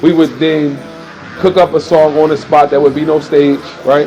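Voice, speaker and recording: Music in the background behind a man's fairly high voice, flat and monotone in intonation, at a moderate pace. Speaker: music artist. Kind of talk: casual chat. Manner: loud.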